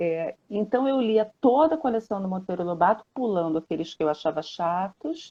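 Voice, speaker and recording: Speaking at a moderate pace with hardly any pauses, a woman with a medium-pitched voice swings very widely in pitch. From Brazil, Rio de Janeiro. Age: 60s. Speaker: children's book author. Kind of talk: interview on a live stream. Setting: Instagram live video call.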